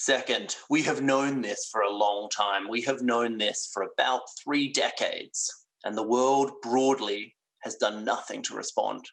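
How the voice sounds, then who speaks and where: At a fairly slow pace, a man with an Australian accent speaks at a medium pitch and with fairly even intonation. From Western Australia. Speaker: plenary lecturer, physician. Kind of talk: lecture. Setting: virtual congress. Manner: hesitant, with fillers.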